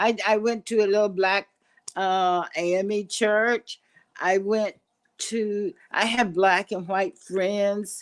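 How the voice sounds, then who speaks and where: A woman speaks in a flat monotone with an American accent. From Kansas. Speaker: podcast guest. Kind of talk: life story interview.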